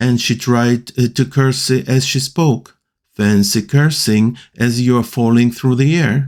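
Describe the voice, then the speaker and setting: Speaking very slowly in a Russian accent, a man has a dark, mellow tone on a very clean recording with a silent background. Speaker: amateur reader. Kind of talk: audiobook reading.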